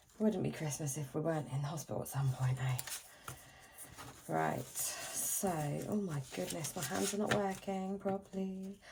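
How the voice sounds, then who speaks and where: A woman with a British accent talks in a very deep, low voice over noticeable background noise. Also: lively intonation, moderate pace. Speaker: budgeting vlogger. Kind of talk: casual chat.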